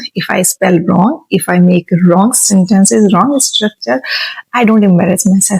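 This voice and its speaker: With an Indian accent, a woman speaks at a fairly slow pace and medium pitch, her intonation lively. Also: very even loudness, dry, close sound with no echo. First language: Hindi. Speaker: vlogger learning English. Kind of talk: unscripted self-talk vlog. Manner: halting, many fillers.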